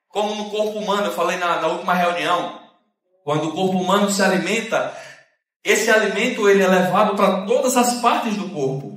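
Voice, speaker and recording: Speaking at a fairly quick pace, a man uses a high pitch with ordinary pitch variation. Room echo is audible. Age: 30s. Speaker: preacher. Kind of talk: sermon. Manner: fast.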